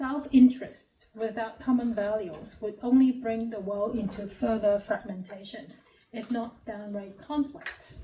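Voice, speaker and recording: A woman with a fairly high pitch talks at a fairly slow pace, with hardly any pauses. Her loudness swings a lot, and there is noticeable background noise. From Hong Kong. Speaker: professor. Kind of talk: lecture.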